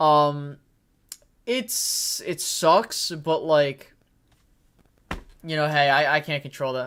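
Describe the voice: With fairly even intonation, a man speaks in a fairly high voice whose tone is clear, smooth and fairly bright.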